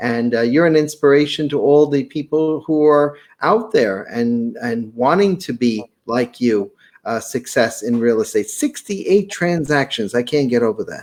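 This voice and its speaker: A man with a slight Brooklyn accent, fairly high pitch, and lively intonation on a very clean recording with a silent background. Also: moderate pace. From Brooklyn, New York. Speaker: podcast host, real estate seminar presenter. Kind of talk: interview chat. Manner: halting, many fillers.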